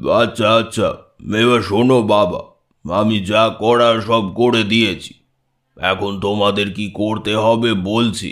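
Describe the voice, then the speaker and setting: A man's put-on character voice, monotone with flat intonation. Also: fairly low pitch for a man, fairly slow pace. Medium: read story. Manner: sweet, coaxing.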